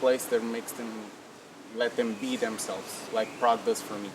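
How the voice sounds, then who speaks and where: Over noticeable background noise, a man speaks at a moderate pace in a medium pitch with monotone, flat intonation. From Portugal, family from Angola. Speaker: copywriter. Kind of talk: interview.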